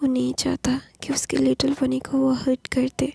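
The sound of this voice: Dry and close with no echo, a woman's high-pitched voice carries a dark, mellow tone with a husky, rough edge and vocal fry, moving at a moderate pace in monotone, flat intonation.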